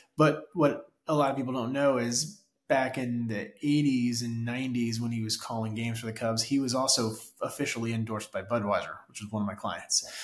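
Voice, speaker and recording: This man talks at a moderate pace and medium pitch, with fairly even intonation. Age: 40s. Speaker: marketing executive. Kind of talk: interview. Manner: hesitant fillers.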